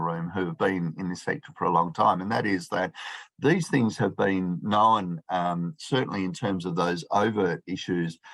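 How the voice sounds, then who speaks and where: Pitched fairly low, a man speaks with an Australian accent. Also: quiet background. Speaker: professor, chartered accountant. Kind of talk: conference talk. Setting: video call. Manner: fast.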